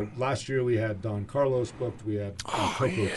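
With noticeable background noise behind him, a man talks at a fairly quick pace and a medium pitch with fairly even intonation. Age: 40s. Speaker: cannabis dispensary representative. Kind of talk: casual chat. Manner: halting.

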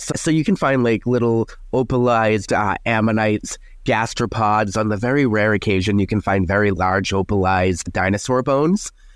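With a Boston accent, a man speaks at a moderate pace in a fairly low pitch. His loudness stays very even, and his pitch varies in an ordinary way. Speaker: paleontologist and science content creator. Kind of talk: casual interview chat.

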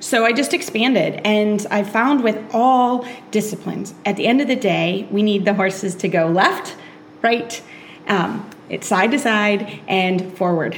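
Fairly slow pace, very even loudness, ordinary pitch variation, and noticeable background noise. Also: woman, medium pitch for a woman. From Kentucky, Lexington. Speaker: dressage trainer and podcaster. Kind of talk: interview.

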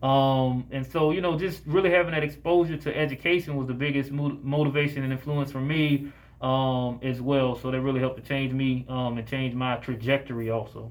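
A man with an American accent in a normal speaking voice, medium in pitch, at a fairly quick pace with hardly any pauses and fairly even intonation. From Jacksonville, Florida. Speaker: physician. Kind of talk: interview.

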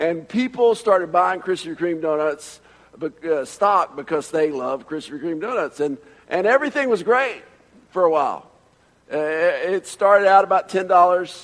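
Pitched high, a man speaks fairly slowly with lively intonation and a slight Southern US accent. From Atlanta, Georgia. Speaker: preacher. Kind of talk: sermon.

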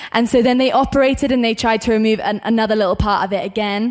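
With a British accent, a woman speaks at a fairly high pitch and with fairly even intonation. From Great Britain. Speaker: student evangelist. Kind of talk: testimony.

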